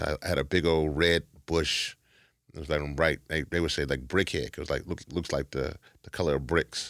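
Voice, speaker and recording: A man with an American accent speaks at a very deep, low pitch with vocal fry, at a moderate pace and with fairly even intonation. The sound is dry and close with no echo, on a very clean recording with a silent background. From Louisiana, US South. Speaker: activist and organization leader. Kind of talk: interview, personal life story.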